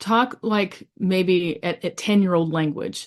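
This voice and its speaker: A woman with a normal speaking voice talks at a medium pitch with ordinary pitch variation against a quiet background. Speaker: pastor and family therapist. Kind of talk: webinar panel talk.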